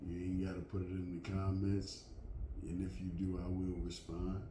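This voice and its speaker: In a room with audible echo, a man with a very deep, low pitch and a dark, mellow tone speaks at a moderate pace. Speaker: vlogger. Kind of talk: casual monologue to camera. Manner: loud; halting. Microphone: last video was too quiet.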